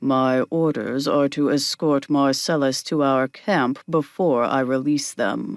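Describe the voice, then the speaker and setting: In a put-on character voice, a man speaks at a fairly slow pace with hardly any pauses. His loudness stays very even and his intonation fairly even. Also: fairly high pitch for a man. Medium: read story. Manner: hard, clipped.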